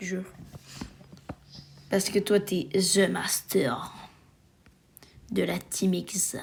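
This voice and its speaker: The pace is very slow, with ordinary pitch variation. Long pauses come often. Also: woman, medium pitch for a woman. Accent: Quebec. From Quebec. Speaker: gaming YouTuber. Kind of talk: casual gaming chat.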